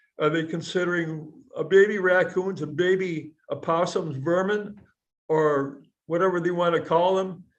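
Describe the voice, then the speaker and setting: There is audible room echo as a man with a high pitch speaks at a fairly slow pace with fairly even intonation. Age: 80s+. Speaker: defendant in court. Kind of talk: court testimony.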